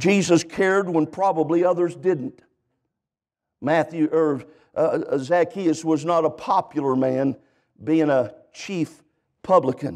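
A man with an American accent speaks at a fairly slow pace in a fairly high pitch, with ordinary pitch variation against a quiet background. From California. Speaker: guest preacher. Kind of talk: sermon. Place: church.

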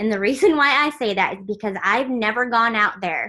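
A woman's bright, sharp voice at a moderate pace over a quiet background. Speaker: team leader training. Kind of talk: training call. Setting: video call. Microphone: video call.

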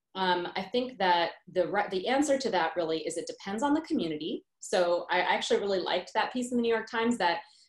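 A woman talks at a fairly quick clip with lively intonation and hardly any pauses. The background is quiet, but the room echo is audible. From South India heritage, grew up as immigrant in US. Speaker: pediatrician and professor; professor. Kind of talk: interview conversation. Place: home room. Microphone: video call.

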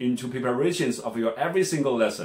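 There is audible room echo but a quiet background as a man with a Chinese accent speaks with lively intonation. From China. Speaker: language teacher. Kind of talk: self-introduction pitch. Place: home room. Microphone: phone near.

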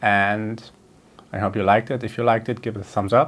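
A man with a fairly bright tone speaks at a fairly low pitch and moderate pace, his intonation fairly even.

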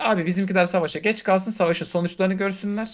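The pace is fairly quick. The background is quiet. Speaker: podcast co-host. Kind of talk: casual podcast discussion. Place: home room.

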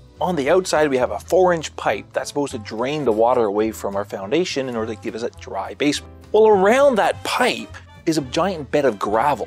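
A man speaks in a dry recording without echo while music plays faintly in the background. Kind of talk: interview answer. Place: studio.

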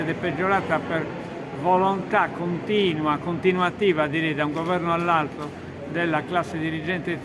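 Against noticeable background noise, a man keeps to a moderate pace. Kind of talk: interview answer. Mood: firm, critical. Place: hall.

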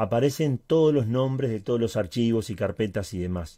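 A man's voice with a dark, mellow tone swings very widely in pitch. The background is quiet. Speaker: Linux tutorial YouTuber. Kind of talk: tutorial. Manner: occasional stutter and filler words.

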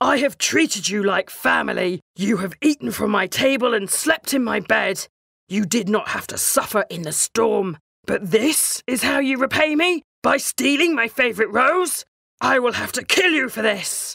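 A put-on character voice bellows at a fairly high pitch. The tone is furious. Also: moderate pace. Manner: bellowing, furious.

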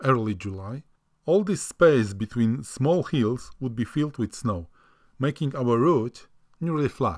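A man with a non-native accent, fairly slow-paced, with lively intonation. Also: medium pitch for a man, very clean recording, silent background. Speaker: hiker. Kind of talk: travel vlog narration.

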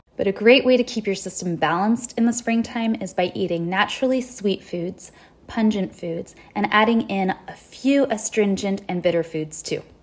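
A woman's pitch varies in an ordinary way as she talks at a moderate pace. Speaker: wellness educator. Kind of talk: educational social media talk. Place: home room. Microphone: phone near.

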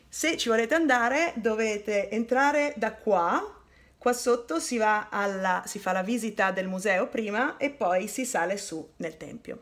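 An unremarkable speaking voice from a woman, fairly high in pitch, fairly slow, with lively intonation. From northern Italy, Turin; northern Italy. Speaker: tour guide / history presenter; tour guide, presenter. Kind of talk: educational video narration. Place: home room. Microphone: phone near.

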